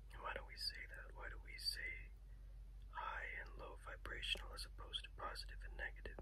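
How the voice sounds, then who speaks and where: Whispering softly at a fairly quick pace, a soft-spoken man talks over light background noise. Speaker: reiki healer. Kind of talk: reiki healing session, relaxing guided talk. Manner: soft-spoken, whispering. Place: home room. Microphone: phone near.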